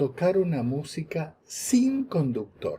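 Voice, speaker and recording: Very slowly, a man speaks in a high, dark, mellow voice with an Argentine accent and very wide pitch swings. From Argentina, Buenos Aires. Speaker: lecturer. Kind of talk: lecture. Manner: halting, with fillers and repeats.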